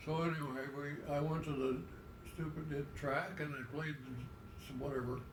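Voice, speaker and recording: Over noticeable background noise, a man with a fairly high pitch talks at a moderate pace with fairly even intonation and long, frequent pauses. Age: 80s+. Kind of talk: casual storytelling, family conversation.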